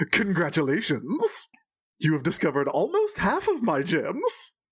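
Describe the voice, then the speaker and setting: A man uses a put-on character voice, pitched high and delivered at a moderate pace. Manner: grand, villainous.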